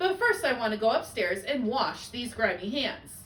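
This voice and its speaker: Over clear background noise, a woman uses a put-on character voice at a high pitch and a moderate pace, with very wide pitch swings. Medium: read story.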